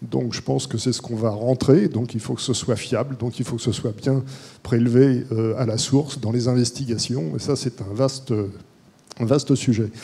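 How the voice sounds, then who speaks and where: A man with a plain, everyday voice talks at a moderate pace with fairly even intonation. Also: medium pitch for a man. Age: 60s. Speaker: court-appointed expert, audience member. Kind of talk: audience question at panel. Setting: conference hall with audience.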